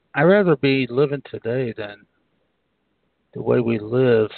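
A man's voice at a moderate pace and medium pitch. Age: 60s. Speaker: radio host and psychic medium. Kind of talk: casual chat.

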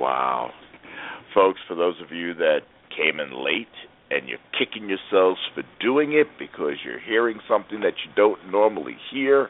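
Over noticeable background noise, a man with a fairly low voice speaks at a moderate pace, with very wide pitch swings and big swings in loudness. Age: 60s. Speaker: radio host and business coach. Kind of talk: radio interview. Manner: animated.

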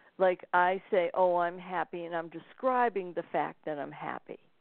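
A woman's unremarkable speaking voice, medium in pitch, with ordinary pitch variation at a fairly slow pace. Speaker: spiritual author and intuitive reader. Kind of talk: interview conversation.

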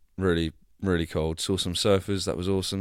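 In a very clean recording with a silent background, a man with a slight Devon accent speaks at a very deep, low pitch with fairly even intonation. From Devon, England. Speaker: actor and podcast host. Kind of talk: casual solo vlog-style monologue.

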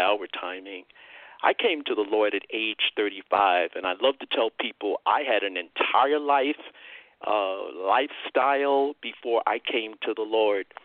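A normal speaking voice talks at a fairly slow pace with ordinary pitch variation. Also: man. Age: 60s. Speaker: evangelist and Bible teacher. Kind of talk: radio interview, testimony.

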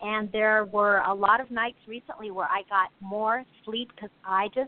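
At a fairly slow pace, a woman with a fairly high pitch speaks in an ordinary speaking voice. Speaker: life coach and memoirist. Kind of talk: advice on self-care. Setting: phone call.

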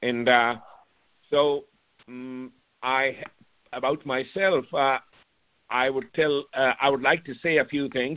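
Long, frequent pauses break up a man's very slow speech, which keeps fairly even intonation. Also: medium pitch for a man. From Pakistan. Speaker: psychiatrist. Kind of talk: radio interview.

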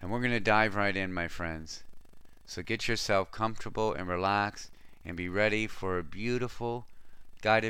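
A man speaks with a very deep, low pitch and ordinary pitch variation, his tone both bright and sharp yet gentle and warm. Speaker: spiritual radio host and meditation guide. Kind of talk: guided meditation. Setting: studio. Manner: slow, soothing, calm; gentle, warm, with long pauses.

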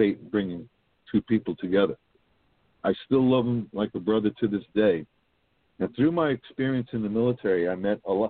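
Fairly quick speech from a fairly low-pitched man with a New York accent, with long, frequent pauses and ordinary pitch variation. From Brooklyn, New York City. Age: 50s. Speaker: baseball history blogger. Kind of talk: casual chat.

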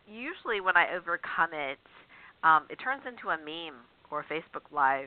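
The pace here is moderate. The speaker has a plain, everyday voice. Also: woman. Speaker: radio show host and author. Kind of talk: call-in radio interview. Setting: radio studio with phone lines. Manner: warm, chatty, frequent fillers.

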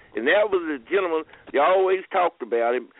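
A man speaks with ordinary pitch variation. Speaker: caller. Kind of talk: casual chat. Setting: phone call. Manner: halting.

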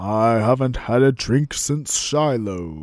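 Putting on a character voice, a man speaks at medium pitch. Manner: spooky, haunting.

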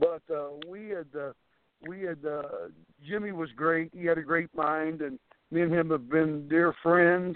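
Speaking fairly slowly with an American accent, a man has a normal speaking voice, fairly high in pitch, with fairly even intonation. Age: 50s. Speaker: professional wrestler. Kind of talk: interview.

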